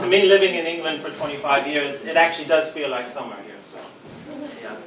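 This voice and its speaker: With an American accent, the voice moves at a fairly quick pace with ordinary pitch variation, over noticeable background noise and audible room echo. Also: man. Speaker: supplement industry expert. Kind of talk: lecture. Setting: talk to a live audience with microphone lead. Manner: hesitant, many ums and repeated words.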